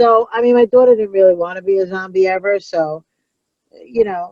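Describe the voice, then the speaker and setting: Speaking at a moderate pace, a woman with a New York accent keeps to a medium pitch. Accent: New York (Brooklyn-like). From Long Island, New York. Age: 40s. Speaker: comedian. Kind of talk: casual chat. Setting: in a car. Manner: animated.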